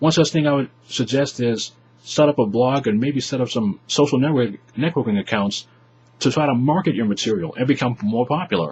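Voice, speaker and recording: At a fairly quick pace, a man talks in a somewhat breathy voice of medium pitch with ordinary pitch variation. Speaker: YouTuber vlogger. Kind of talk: advice vlog to webcam. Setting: webcam in bedroom.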